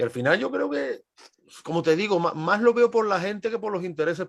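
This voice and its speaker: Behind the speech, the background stays quiet. A man delivers his words at a fairly quick pace, his pitch varying in an ordinary way. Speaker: historian. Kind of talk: podcast interview.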